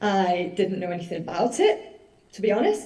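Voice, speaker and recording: A woman with a Mancunian accent is heard with audible room echo and noticeable background noise. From northern England, Manchester. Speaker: musician and journalist. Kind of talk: conference presentation. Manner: casual, chatty.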